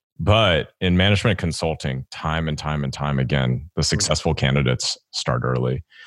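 Speaking at a fairly quick pace with hardly any pauses, a man uses a very deep, low pitch and vocal fry. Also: ordinary pitch variation, dry, close sound with no echo. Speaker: podcast host and career coach. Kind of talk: interview.

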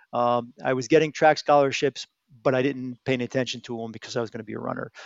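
This man talks at a very fast pace with an American accent. His pitch is medium and his intonation fairly even. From Connecticut, US. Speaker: retired aerospace engineering executive. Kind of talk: podcast interview.

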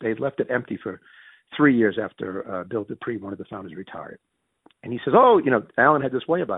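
Talking at a very fast pace, a man speaks with a New England accent. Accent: Yankee. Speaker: business executive. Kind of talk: interview storytelling.

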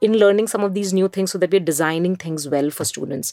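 The speaker has an Indian accent and ordinary pitch variation. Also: woman. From India, Mumbai. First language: Hindi. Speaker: education entrepreneur. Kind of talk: interview.

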